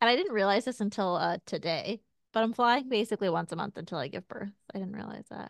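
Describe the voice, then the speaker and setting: The voice comes very fast with vocal fry, ordinary pitch variation and big swings in loudness, recorded with a dry, close sound with no echo against a quiet background. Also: woman, medium pitch for a woman. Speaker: podcast co-host, pregnant working mom. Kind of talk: casual chat.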